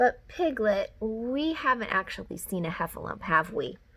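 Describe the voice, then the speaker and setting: A woman puts on a character voice, pitched fairly high, at a moderate pace. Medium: read story. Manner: calm, gentle.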